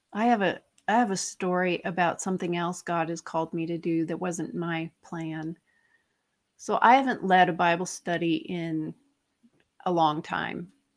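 A woman's fairly low, normal speaking voice at a moderate pace, with fairly even intonation, in a very clean recording with a silent background. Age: 50s. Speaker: author and nutritionist. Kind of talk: casual interview.

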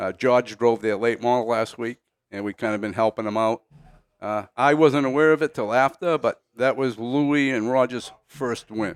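A man with a plain, everyday voice talks at a medium pitch and moderate pace with ordinary pitch variation, in a very clean recording with a silent background. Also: dry, close sound with no echo. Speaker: racing veteran. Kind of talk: casual chat. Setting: studio.

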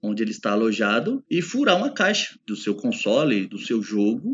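A man's voice with very wide pitch swings. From Brazil, São Paulo state interior. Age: 40s. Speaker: pest control specialist. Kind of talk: casual podcast interview.

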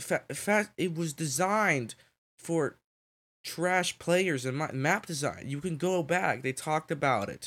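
At a fairly slow pace, a man speaks with a fairly high pitch and ordinary pitch variation. The recording is very clean, with a silent background. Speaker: podcast host. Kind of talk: solo podcast monologue, then angry gaming rant. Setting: home recording, solo. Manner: heated, indignant, scornful, emphatic rant; halting, filler-heavy, casual.

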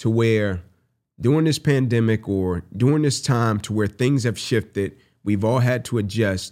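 Recorded very cleanly against a silent background, a man with an unremarkable speaking voice talks at a moderate pace, with medium pitch and ordinary pitch variation. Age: 30s. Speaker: podcast co-host and motivational speaker. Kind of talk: casual chat.

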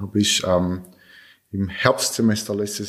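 A man's fairly low voice, very slow pace, and fairly even intonation. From Switzerland. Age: 20s. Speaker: cancer survivor, amputee. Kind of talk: interview. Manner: halting.

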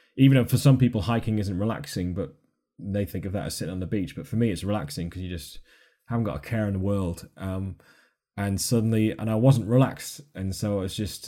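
A man's fairly low, dark and mellow voice at a fairly quick pace, on a very clean recording with a silent background. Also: ordinary pitch variation. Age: 30s. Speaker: travel YouTuber and adventurer. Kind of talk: casual interview chat. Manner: fast.

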